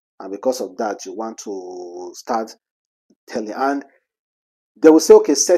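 With a quiet background, a man speaks at a medium pitch in a dark, mellow tone. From Nigeria. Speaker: celebrity news vlogger. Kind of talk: casual commentary. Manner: animated. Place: home room. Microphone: lapel.

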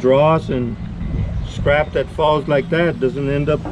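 A man's voice with music in the background. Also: dry sound with no echo. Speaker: welding instructor. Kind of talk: tutorial. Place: garden.

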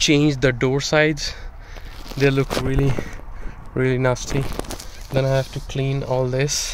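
The speech is fairly slow and monotone, with flat intonation and a dry sound with no echo, over noticeable background noise. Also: man. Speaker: car owner vlogger. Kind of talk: casual vlog chat. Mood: disappointed, resigned. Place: street. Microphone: phone near.

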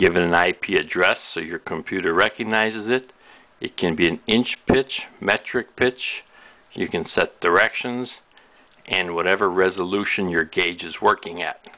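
A man's very deep, low voice with a bright, sharp tone. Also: ordinary pitch variation, moderate pace. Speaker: product demonstrator. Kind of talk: tutorial. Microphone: camera far.

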